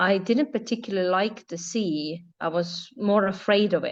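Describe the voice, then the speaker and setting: A woman with an Estonian accent speaks at medium pitch with ordinary pitch variation against a quiet background. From Estonia, Tartu. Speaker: yacht interior designer. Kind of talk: interview conversation.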